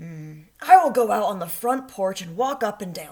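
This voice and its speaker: Growling in a put-on character voice, the speaker talks at a moderate pace. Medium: read story. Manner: earnest, fretful.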